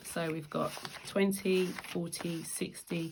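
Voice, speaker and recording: With a British accent, a woman speaks at a very slow pace, her fairly low pitch showing ordinary variation. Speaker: budgeting vlogger. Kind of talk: tutorial. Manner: casual.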